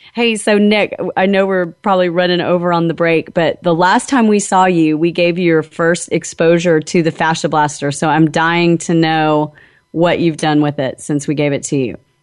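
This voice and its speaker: At a moderate pace, a woman with an ordinary speaking voice talks at a fairly low pitch, with very even loudness and ordinary pitch variation. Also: hardly any pauses, quiet background. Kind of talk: radio host patter: chatty live health-show banter with sign-offs and plugs.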